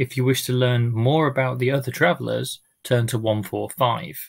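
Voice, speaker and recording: A somewhat breathy man at a moderate pace with fairly even intonation against a quiet background. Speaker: amateur reader. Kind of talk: casual talk to audience. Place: home room. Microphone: webcam.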